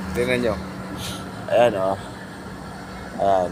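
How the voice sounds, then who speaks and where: A man talks over noticeable background noise. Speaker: vlogger. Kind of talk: casual vlog.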